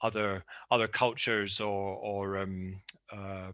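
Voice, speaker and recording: Against a quiet background, a voice with a Scottish accent comes across bright and sharp, with monotone, flat intonation. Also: man. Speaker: academic panelist. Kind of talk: conference paper presentation. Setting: video call. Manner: halting, many fillers and repetitions.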